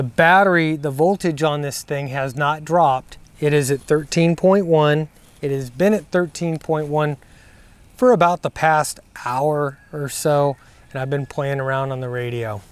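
There is no echo in the dry sound as a man speaks at a moderate pace with ordinary pitch variation. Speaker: ham radio operator reviewing gear. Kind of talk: casual product review vlog. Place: open country. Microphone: lapel.

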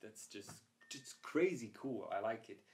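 Against a quiet background, the talking proceeds at a moderate pace. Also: man. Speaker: photography vlogger. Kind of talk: casual vlog chat. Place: home room.

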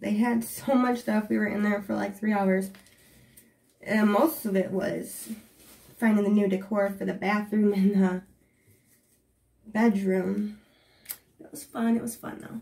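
This woman talks at a fairly slow pace with ordinary pitch variation. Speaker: haul vlogger. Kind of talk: casual vlog chat. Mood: excited, upbeat. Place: bathroom. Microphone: camera far.

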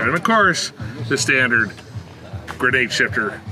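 A man speaks at a fairly brisk clip while music plays in the background. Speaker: automotive host. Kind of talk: casual vehicle walkaround tour. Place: street. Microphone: camera far.

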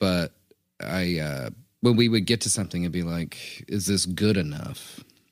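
Very deep and low in pitch, a man talks at a moderate pace with ordinary pitch variation on a very clean recording with a silent background. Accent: American. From US South. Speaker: podcast co-host. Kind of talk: casual chat. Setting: studio recording booth.

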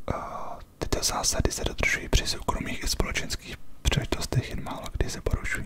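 Whispering in a relaxed tone, a man speaks at a fairly quick pace with hardly any pauses over noticeable background noise. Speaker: ASMR creator. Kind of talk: casual talk to camera, chatty ASMR whisper. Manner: whispered, relaxed, conversational.

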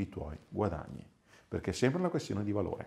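Over a quiet background, a man talks at a fairly low pitch with lively intonation. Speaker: sales and business coach; sales, business coach. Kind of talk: motivational talk to camera. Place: office. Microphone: lapel.

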